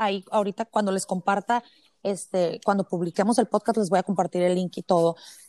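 A woman speaks at a medium pitch with a dark, mellow tone. The recording is very clean and dry, close-miked with no echo over a silent background. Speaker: podcast host, mother. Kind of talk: casual interview chat.

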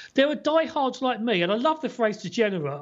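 The pitch of this man's voice swings very widely. He talks very fast. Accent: English. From England. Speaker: former sports TV presenter, fan blogger. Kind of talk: casual chat.

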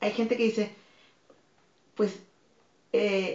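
This is a woman speaking at a medium pitch. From Tijuana, Mexico. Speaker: fitness instructor and dance academy director. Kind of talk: interview.

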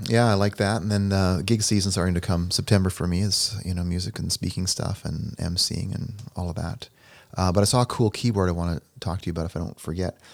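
Speaking at a very fast pace, a man with a very deep, low pitch keeps his intonation fairly even. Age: 50s. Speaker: podcast host and musician. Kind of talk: casual chat.

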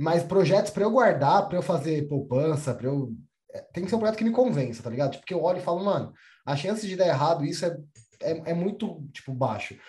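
A man talks at a very fast pace with a high pitch. His dark, mellow tone carries lively intonation. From São Paulo, Brazil. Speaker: podcast host. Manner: animated, slangy.

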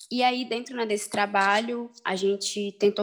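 A woman speaks in a normal speaking voice, fairly high in pitch with ordinary variation. Her pace is fairly slow. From Belém, Pará, northern Brazil. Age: 20s. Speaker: rapper and activist. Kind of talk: casual interview.

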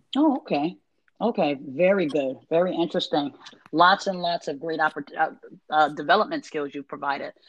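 A woman speaks in a normal speaking voice, pitched fairly low. Her pitch varies in an ordinary way, and her pace is fairly quick. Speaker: podcast host. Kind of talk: interview, casual chat.

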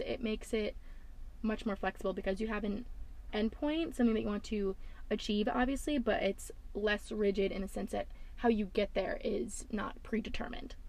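A woman's somewhat breathy voice, fairly high in pitch, with an American accent, a fairly quick pace and ordinary pitch variation. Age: 20s. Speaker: podcast host. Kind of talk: casual solo podcast monologue. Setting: parked car. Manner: chatty, fast talker.

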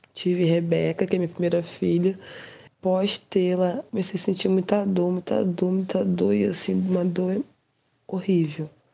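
Her voice sits at medium pitch in a dark, mellow tone, with monotone, flat intonation. The woman keeps a moderate pace and very even loudness. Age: 30s. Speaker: patient. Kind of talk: testimony.

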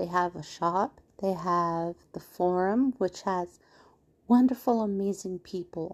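A woman's gentle tone at a medium pitch, very slow, with ordinary pitch variation and a quiet background. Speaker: spiritual podcast host. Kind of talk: casual instructional monologue. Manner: gentle, calming.

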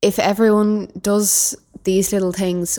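A woman with a Dublin accent at a fairly slow pace, on a very clean recording with a silent background. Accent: Dublin Irish. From Dublin, Ireland. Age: young. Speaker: youth volunteer. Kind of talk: casual chat.

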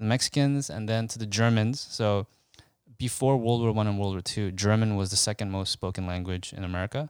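A man talks at a moderate pace in a plain, everyday voice with ordinary pitch variation. The sound is dry and close, with no echo. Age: 30s. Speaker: podcast co-host. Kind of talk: casual chat.

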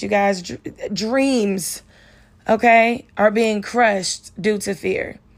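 On a very clean recording with a silent background, a woman with an American accent speaks in a fairly high pitch with an animated tone. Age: 20s. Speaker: podcast host. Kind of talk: pep talk. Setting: podcast. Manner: emphatic, encouraging.

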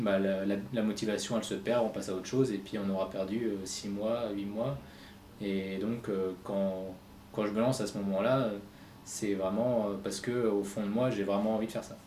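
A man speaks at a moderate pace in a fairly low pitch with monotone, flat intonation. Audible room echo surrounds his voice. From France, Reims. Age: 30s. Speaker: web entrepreneur. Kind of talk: interview.

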